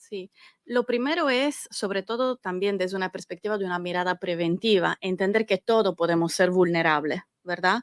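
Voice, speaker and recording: A woman's medium-pitched voice with a slight Italian accent, ordinary pitch variation and a moderate pace, dry and close with no echo. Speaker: government data analyst. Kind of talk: interview.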